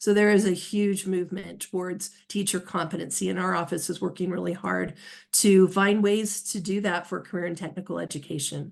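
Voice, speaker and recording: A woman speaks with an American accent. Her intonation is monotone and flat, with vocal fry. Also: medium pitch for a woman, quiet background. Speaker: state education official. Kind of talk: webinar panel talk. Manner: fast; halting, many fillers.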